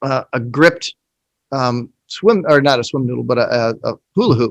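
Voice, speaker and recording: A man's medium-pitched voice in an American accent, at a moderate pace with ordinary pitch variation and a dry, close sound with no echo. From Indiana. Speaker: golf coach. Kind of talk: casual chat. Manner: halting.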